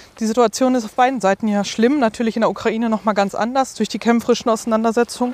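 A woman's fairly high voice at a very fast pace, monotone and flat, dry and close with no echo, amid noticeable background noise. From Ruhr area, Germany. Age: 30s. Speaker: deacon. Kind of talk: interview.

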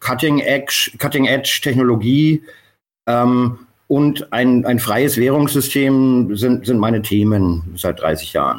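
Ordinary pitch variation at a very slow pace. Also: man. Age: 50s. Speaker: bar owner and Bitcoin pioneer. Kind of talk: interview. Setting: call. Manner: halting, many fillers.

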